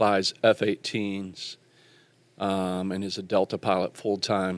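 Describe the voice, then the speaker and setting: Speaking very slowly in a flat monotone, a man with a Southern US accent has a fairly low voice and a dry, close sound with no echo. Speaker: podcast host. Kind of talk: casual chat.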